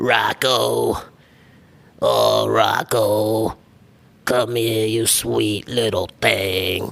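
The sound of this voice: Raspy and in a put-on character voice, a man talks at a very slow pace with long, frequent pauses.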